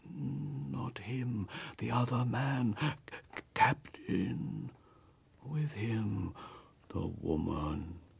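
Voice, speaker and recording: A man's put-on character voice at a very slow pace, with very wide pitch swings. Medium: audio drama. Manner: halting, broken, visionary.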